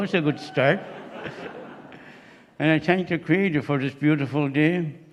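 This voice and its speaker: A man in a Maritime Canadian accent with ordinary pitch variation. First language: Mi'kmaq. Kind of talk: ceremonial welcome. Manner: halting.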